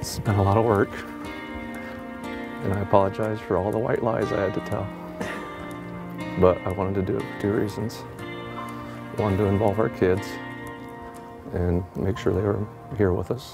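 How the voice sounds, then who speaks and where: Over music in the background, a man with a fairly low pitch speaks at a moderate pace with lively intonation and long, frequent pauses. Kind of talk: casual talk, marriage proposal.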